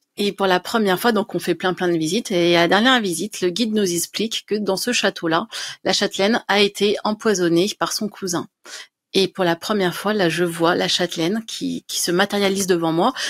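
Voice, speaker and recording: An ordinary speaking voice at a fairly quick pace, fairly even intonation and a quiet background. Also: woman, medium pitch for a woman. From France, Dijon; France. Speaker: writer and medium; interview guest. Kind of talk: interview. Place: home room. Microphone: studio mic.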